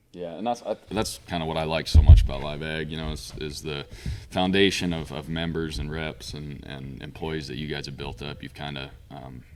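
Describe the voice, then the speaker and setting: A man with a very deep, low pitch speaks at a moderate pace in an American accent, his pitch varying in an ordinary way. His loudness swings widely, and music plays in the background. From Montana. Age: 20s. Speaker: auctioneer. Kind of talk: podcast interview.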